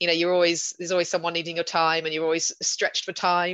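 A southern English accent over a quiet background. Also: woman. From southern England, West Sussex. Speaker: veterinarian, operations manager. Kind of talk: panel discussion.

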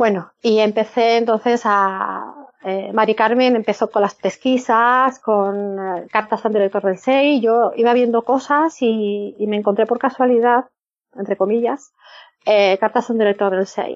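A woman's plain, everyday voice, fairly high in pitch, at a fairly slow pace with fairly even intonation. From northern Spain. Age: 50s. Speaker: former church member. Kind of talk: interview.

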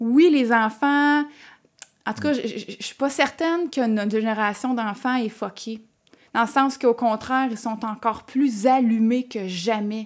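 At a very slow pace, a woman talks in a fairly high voice with ordinary pitch variation. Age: 30s. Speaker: entrepreneur. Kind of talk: casual interview.

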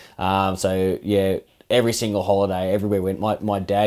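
Fairly quick, fairly low male speech on a very clean recording against a silent background. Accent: Australian. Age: 30s. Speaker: fishing podcast co-host, angler. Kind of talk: casual interview chat.

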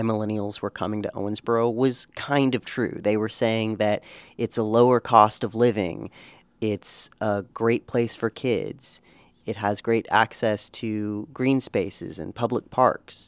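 A man's plain, everyday voice at medium pitch, fairly slow and fairly even in intonation, with a dry, close sound and no echo. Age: 20s. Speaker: newspaper reporter. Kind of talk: casual chat.

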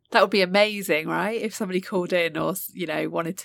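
A woman with a British accent talks at a very fast pace in a fairly low voice, with vocal fry and fairly even intonation. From UK. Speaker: podcast co-host, executive coach. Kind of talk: casual chat. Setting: remote recording. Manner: hesitant, many filler ums.

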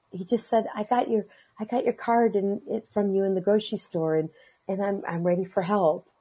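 Somewhat breathy and dark, mellow in tone, a woman speaks at medium pitch with lively intonation. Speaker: caregiver for elderly and dying people. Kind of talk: casual chat. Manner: halting, many repetitions.

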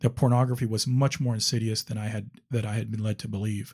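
A man with an ordinary speaking voice, medium pitch and fairly even intonation in a very clean recording with a silent background. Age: 50s. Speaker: attorney sharing recovery story. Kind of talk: interview testimony.

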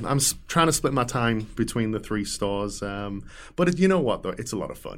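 A man speaks in an English accent. His pace is fairly quick. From England. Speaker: shop owner. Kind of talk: interview.

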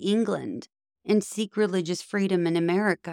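A woman speaks in an ordinary speaking voice with fairly even intonation. The sound is dry and close with no echo, and the recording is very clean over a silent background. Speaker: narrator reading Supreme Court opinions. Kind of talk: reading aloud a court opinion, formal legal oration. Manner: formal, measured, solemn judicial delivery.

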